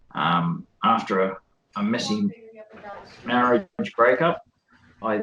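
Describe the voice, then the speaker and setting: With an Australian accent, a man talks at a medium pitch with ordinary pitch variation. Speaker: electrical engineer and independent theorist. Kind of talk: interview self-introduction. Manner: halting, many fillers.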